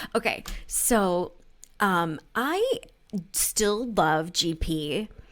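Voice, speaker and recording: Soft-spoken, a woman talks at a very slow pace with lively intonation on a very clean recording with a silent background. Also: medium pitch for a woman. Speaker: podcast co-host. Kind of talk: casual chat. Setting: office, people working below.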